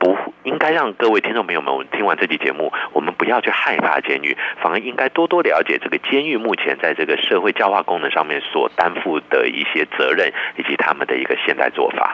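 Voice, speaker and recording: A man talks fairly quickly while noticeable background noise sits behind him. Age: 50s. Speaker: professor. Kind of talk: radio interview. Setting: remote line.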